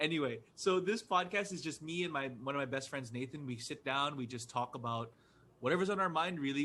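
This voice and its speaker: Delivered at a fairly quick pace with lively intonation, a man's medium-pitched voice is an ordinary speaking voice. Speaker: podcaster and comedian. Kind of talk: casual interview.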